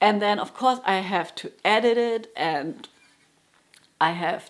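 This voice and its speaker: A German accent at a moderate pace, with ordinary pitch variation. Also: woman. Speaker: jazz guitarist and music teacher. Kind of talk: casual vlog monologue. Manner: halting, with frequent restarts.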